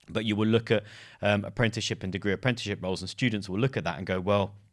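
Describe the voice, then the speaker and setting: Over a very clean recording with a silent background, a man with a London accent speaks very fast in a fairly low pitch. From London, England. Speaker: podcast host, careers advisor. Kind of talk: interview.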